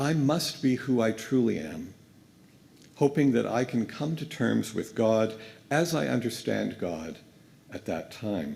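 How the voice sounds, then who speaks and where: At medium pitch, a man talks at a fairly slow pace with vocal fry, very wide pitch swings, and long, frequent pauses. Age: 60s. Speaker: guest minister. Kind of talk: sermon. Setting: church pulpit.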